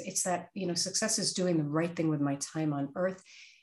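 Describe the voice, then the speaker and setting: A woman's unremarkable speaking voice with an American accent, fairly low-pitched and fairly quick, over a quiet background. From US Northeast (Brooklyn, New York). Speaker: author and career coach. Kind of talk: interview.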